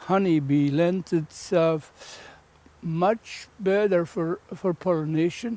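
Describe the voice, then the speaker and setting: A man talks at a very slow pace. His pitch is high, with ordinary variation. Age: 80s+. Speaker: beekeeper. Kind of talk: documentary interview answer.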